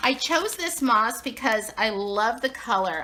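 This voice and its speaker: A woman with an American accent, fairly high pitch, and lively intonation over noticeable background noise. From Southern California, near Anaheim. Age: 60s. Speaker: craft video creator. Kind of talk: tutorial; casual chat. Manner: chatty.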